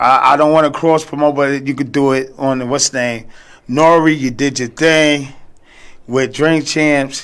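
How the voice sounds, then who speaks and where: In a New York accent, the speaker goes at a moderate pace with monotone, flat intonation. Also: man, fairly high pitch for a man. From New York, Brooklyn. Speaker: former record promoter, podcast guest. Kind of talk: casual chat. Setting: radio studio.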